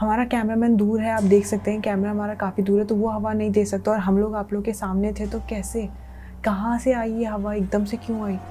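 A woman speaks at a moderate pace in a flat monotone, her voice somewhat breathy over light background noise. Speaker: vlogger. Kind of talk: casual vlog chat. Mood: scared, hushed.

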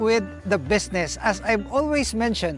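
A man speaks at a fairly slow pace. The sound is dry with no echo, and faint music plays in the background. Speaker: farm owner vlogger. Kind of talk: casual vlog chat. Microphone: lapel.

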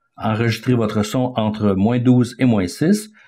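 A man at a medium pitch, speaking at a fairly slow pace with ordinary pitch variation. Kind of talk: tutorial. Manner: halting, with repeated words and fillers.

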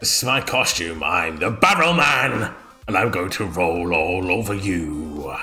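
Putting on a character voice, a man speaks at a very deep, low pitch and a moderate pace, with ordinary pitch variation. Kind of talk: reading game dialogue in a character voice. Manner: boastful, playful threat.

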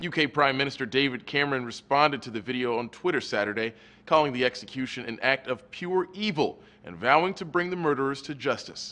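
A man talks very fast with lively intonation. His tone is bright and sharp. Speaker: news reporter. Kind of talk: news report narration. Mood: serious, measured. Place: studio.

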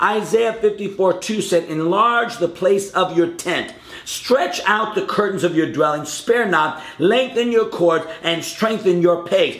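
A man speaks at a fairly slow pace, with audible room echo around him. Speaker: preacher. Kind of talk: short sermon to camera. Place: home room.

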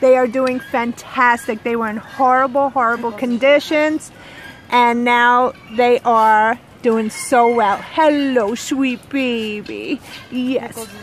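A woman speaks very slowly at a high pitch. The sound is dry with no echo, and there is light background noise. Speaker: farm tour guide. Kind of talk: casual vlog chat. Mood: warm, affectionate. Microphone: phone near.

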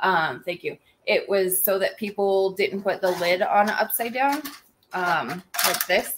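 A woman's unremarkable speaking voice, medium in pitch with ordinary variation, at a fairly slow pace. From US South, Georgia. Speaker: small business owner and livestream host. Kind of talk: casual livestream chat. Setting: live video stream.

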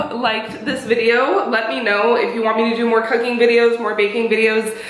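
The recording carries audible room echo. A woman speaks in it at a fairly quick pace. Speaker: food vlogger. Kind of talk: casual vlog chat. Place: kitchen. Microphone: camera far.

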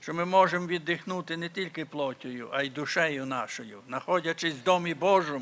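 A fairly high, bright and sharp male voice at a fairly slow pace. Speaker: church member leading prayer. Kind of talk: prayer. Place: church. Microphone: podium.

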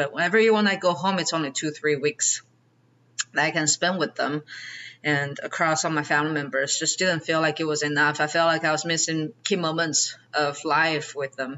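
Speaking at a fairly quick pace, a woman in a Chinese accent keeps a fairly even intonation at a very deep, low pitch. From China. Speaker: real estate investor; podcast guest. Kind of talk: interview. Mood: calm, reflective. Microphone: video call.

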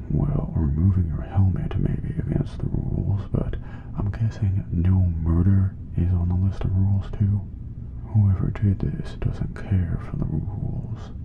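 Soft-spoken, the voice moves at a fairly slow pace. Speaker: voice actor for a crewmate character. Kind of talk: scripted character dialogue. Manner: soft ASMR-style quiet voice.

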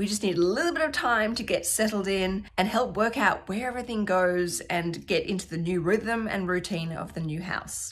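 Delivered at a moderate pace, the speech has ordinary pitch variation and hardly any pauses. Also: woman. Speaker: lifestyle vlogger. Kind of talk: casual vlog chat. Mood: warm, a bit wistful. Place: home room. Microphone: phone near.

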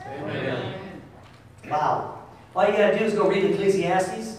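Amid strong room echo and noticeable background noise, a man talks with lively intonation. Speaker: pastor. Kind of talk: sermon. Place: church.

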